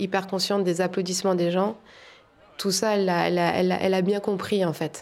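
A woman is speaking at a medium pitch. Her pace is fairly quick. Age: 30s. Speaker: tightrope walker. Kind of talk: interview.

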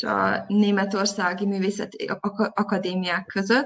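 This woman's voice sits at a medium pitch, with ordinary pitch variation, and she speaks at a fairly slow pace. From Vojvodina, Serbia (Zrenjanin). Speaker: visual artist. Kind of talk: interview. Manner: hesitant, many fillers.

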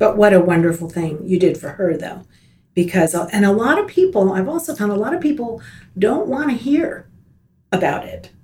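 At a moderate pace, a woman of medium pitch speaks in a dark, mellow, somewhat breathy tone, with very wide pitch swings. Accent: American. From US South, Miami, Florida. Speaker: retired teacher. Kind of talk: casual interview. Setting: studio.

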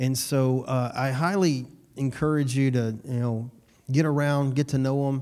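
The tone is dark and mellow. Delivery comes at a moderate pace with fairly even intonation. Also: man, medium pitch for a man. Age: 40s. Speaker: pastor. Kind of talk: sermon. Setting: church service, also streamed on Zoom.

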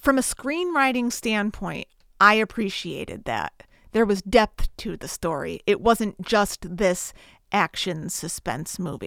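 A woman's medium-pitched voice with an American accent, fairly slow, with vocal fry and lively intonation, dry and close with no echo on a very clean, silent recording. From Connecticut, US. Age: 30s. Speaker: podcast host, film reviewer. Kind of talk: solo podcast, film review and plot retelling.

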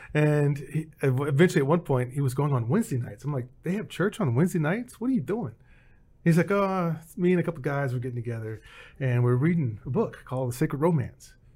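A man's fairly high, somewhat breathy voice with a dark, mellow tone, very fast pace and lively intonation, in a very clean recording with a silent background. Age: 50s. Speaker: behavioral strategist and former tech recruiter. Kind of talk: testimony.

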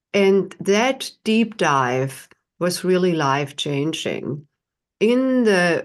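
Very slowly, a woman speaks with a German accent. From Germany. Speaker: tantra teacher and author. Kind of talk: interview.

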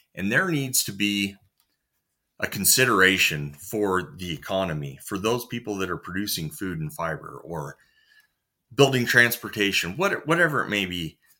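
Lively intonation marks this man's fairly low, bright, sharp voice, delivered at a moderate pace on a very clean recording with a silent background. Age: 30s. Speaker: farmer. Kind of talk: interview.

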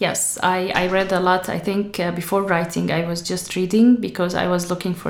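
A woman with an Arabic accent at a fairly low pitch and moderate pace, in a monotone, flat intonation, with audible room echo and noticeable background noise. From Syria, Damascus. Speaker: author. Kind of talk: interview.

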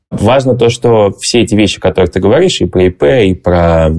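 Over noticeable background noise, a man with a very deep, low pitch talks with lively intonation. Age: 20s. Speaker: investor. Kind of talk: interview.

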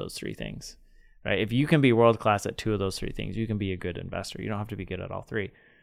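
This man has an unremarkable speaking voice. His pitch is fairly low and his intonation fairly even. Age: 30s. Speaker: venture capital co-host. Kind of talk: casual chat.

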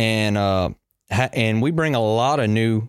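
Someone speaks with a Louisiana accent and ordinary pitch variation. The recording is very clean, with a silent background. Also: man. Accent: Louisiana Southern US. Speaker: young farmer committee chair, farmer. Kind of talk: casual chat. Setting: studio.

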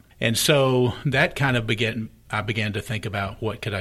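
A man in an ordinary speaking voice, at a fairly low pitch and a moderate pace. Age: 60s. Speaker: pastor. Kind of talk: casual interview chat. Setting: studio.

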